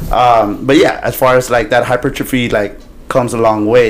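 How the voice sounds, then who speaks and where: A man with a medium pitch talks at a moderate pace while noticeable background noise runs underneath. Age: 30s. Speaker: podcast host and bodybuilder trainer. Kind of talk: casual interview.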